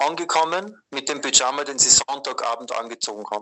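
The man talks at a moderate pace. His pitch is fairly high. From Austria. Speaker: Jesuit aid worker. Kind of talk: interview. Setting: WhatsApp call. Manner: hesitant, many fillers.

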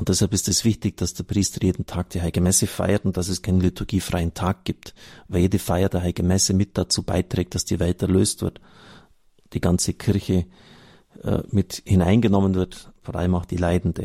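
Speaking fairly quickly with a slight Bavarian accent, a man with a very deep, low pitch and dark, mellow tone stays monotone and flat in a very clean recording with a silent background. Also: dry, close sound with no echo. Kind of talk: reading aloud from a book with commentary.

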